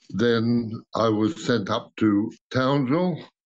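A man is speaking. He has an Australian accent. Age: 80s+. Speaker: World War II veteran, air gunner. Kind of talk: interview answer. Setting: video call.

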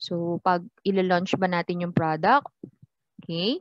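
Recorded with a dry, close sound and no echo, a woman speaks at a fairly slow pace in a medium-pitched voice. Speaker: teacher. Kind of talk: lecture.

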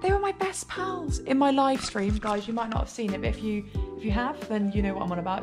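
A woman speaks at a very fast pace. Clear music plays in the background. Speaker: urban explorer vlogger. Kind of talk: casual vlog chat. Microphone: phone near.

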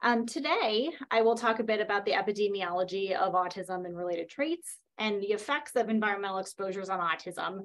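Over a quiet background, a woman talks at a very fast pace with hardly any pauses and ordinary pitch variation. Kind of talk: lecture. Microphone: webcam.

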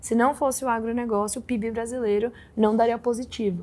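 Talking very fast, a woman keeps a fairly high pitch and fairly even intonation. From interior of São Paulo state, Brazil. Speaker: investment fund director; guest. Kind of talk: interview. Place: studio.

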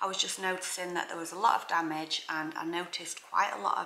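A woman's fairly low voice, bright and sharp in tone, with vocal fry and audible room echo

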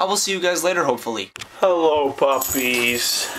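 There is light background noise as a man talks at a fairly quick pace. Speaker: vlogger. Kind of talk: casual vlog chat. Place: home room. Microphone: phone near.

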